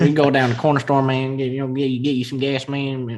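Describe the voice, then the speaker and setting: A man mumbles in a put-on character voice at a medium pitch, with monotone, flat intonation. He goes at a fairly quick pace over light background noise. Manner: mumbling, words run together, casual.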